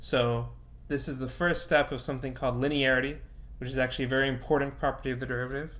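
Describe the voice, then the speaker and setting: In a room with audible echo, a man with a medium pitch talks very fast in a monotone, flat way. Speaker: physics teacher. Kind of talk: lecture.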